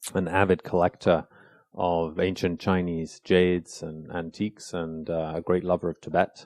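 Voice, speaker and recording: Very deep and low in pitch, a man speaks at a fairly slow pace with a British accent and monotone, flat intonation. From England (London), then south of France. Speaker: think tank researcher. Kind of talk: podcast interview. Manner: hesitant, many fillers.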